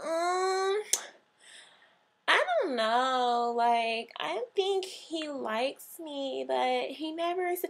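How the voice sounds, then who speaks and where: A whiny put-on character voice at a very slow pace. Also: woman, high pitch for a woman. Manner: whiny, complaining.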